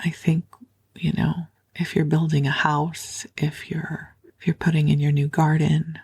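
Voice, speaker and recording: A woman speaks with a very deep, low pitch at a fairly slow pace. Her intonation is monotone and flat, with a soothing tone. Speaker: sleep podcast host and spiritual teacher. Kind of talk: sleep podcast talk. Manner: soft-spoken, slow, soothing.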